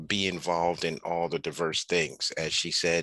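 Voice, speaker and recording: Over a quiet background, a man speaks at a moderate pace in a very deep, low voice with a bright, sharp tone and a dry sound with no echo. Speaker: faculty advisor host. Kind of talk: event introduction. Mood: warm, friendly. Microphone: headset.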